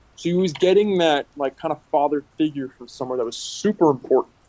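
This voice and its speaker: A man speaks at a moderate pace in an unremarkable speaking voice with a fairly high pitch. The sound is dry and close, with no echo. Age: 20s. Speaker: podcaster. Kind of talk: casual chat.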